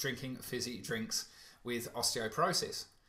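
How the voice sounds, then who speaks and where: A man's medium-pitched, bright and sharp voice in a British accent. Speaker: alkaline diet coach. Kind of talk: webinar Q&A. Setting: online webinar. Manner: fast.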